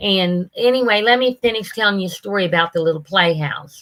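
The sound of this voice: A woman at medium pitch with a fairly bright tone, speaking at a fairly quick pace. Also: ordinary pitch variation.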